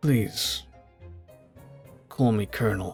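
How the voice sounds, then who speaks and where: Faint music plays in the background as a man, medium in pitch, performs a put-on character voice. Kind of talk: comic overacting. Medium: game stream. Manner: smooth, confident.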